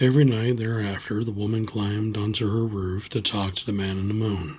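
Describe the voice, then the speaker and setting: Soft-spoken and gentle in tone, this man talks at a moderate pace with a fairly low pitch. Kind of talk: bedtime story reading. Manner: gentle, soft-spoken.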